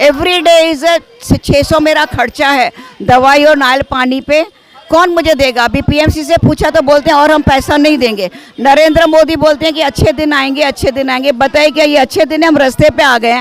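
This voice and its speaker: A high-pitched woman with fairly even intonation and very even loudness, over noticeable background noise. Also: moderate pace. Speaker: bank depositor. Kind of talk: street interview at protest.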